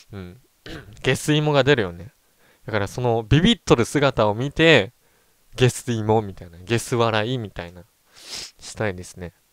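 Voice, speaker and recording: A man's voice, dry and close with no echo, in a very clean recording over a silent background. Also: medium pitch for a man, lively intonation, moderate pace. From Japan, Ehime. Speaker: gaming streamer. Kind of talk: casual chat. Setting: livestream.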